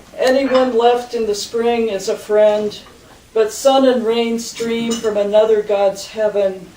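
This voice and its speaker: Over noticeable background noise, a woman speaks fairly slowly in a fairly high pitch with monotone, flat intonation. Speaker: poet. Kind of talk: poetry reading.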